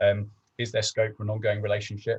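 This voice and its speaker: Against a quiet background, a man talks at a very fast pace with a fairly low pitch, a somewhat breathy voice and monotone, flat intonation, the sound dry and close with no echo. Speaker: business development manager. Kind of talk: webinar presentation. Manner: hesitant, many fillers.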